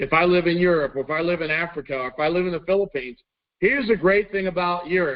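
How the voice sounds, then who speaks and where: A man's high-pitched voice with a Texan accent. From Texas. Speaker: network marketing company trainer. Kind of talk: corporate training presentation.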